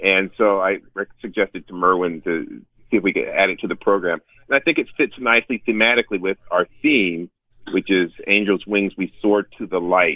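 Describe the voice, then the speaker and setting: A man's unremarkable speaking voice with an American accent, fairly low in pitch, at a moderate pace and with ordinary pitch variation. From US South, North Carolina. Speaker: orchestra conductor. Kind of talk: interview. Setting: phone call.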